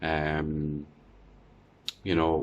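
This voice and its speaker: The recording is very clean, with a silent background. A man speaks in an Irish accent. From Ireland. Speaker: vlogger. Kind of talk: casual video diary. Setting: quarantine room. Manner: halting, many fillers.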